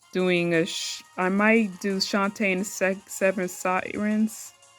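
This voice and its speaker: Over music in the background, a woman speaks at a medium pitch and a very slow pace in a monotone, flat intonation. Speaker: gaming YouTuber. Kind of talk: casual gaming talk to camera. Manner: stuttering.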